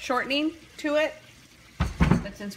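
This is a woman speaking. Background noise can be noticed behind her. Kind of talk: cooking tutorial. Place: kitchen. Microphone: phone near.

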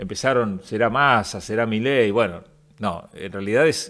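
Over a quiet background, a man with a Rioplatense accent talks at a fairly slow pace with ordinary pitch variation. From Argentina. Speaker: radio host. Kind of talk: interview. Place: studio. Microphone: studio mic.

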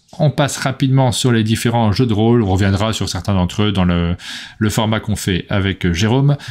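A fairly quick pace with ordinary pitch variation over a quiet background. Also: man, fairly low pitch for a man, very even loudness. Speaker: board game news host. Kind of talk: casual chat. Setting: live stream. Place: home room.

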